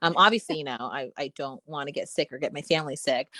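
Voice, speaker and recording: A woman speaks at a very fast pace in a dry, close sound with no echo. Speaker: actress. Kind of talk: casual chat. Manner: halting, stumbling over words.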